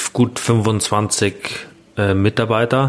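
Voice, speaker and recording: Noticeable background noise fills the clip. A man's voice comes through at medium pitch. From Bavaria, Grünwald near Munich. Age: 30s. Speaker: innkeeper. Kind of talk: casual interview. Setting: in a restaurant.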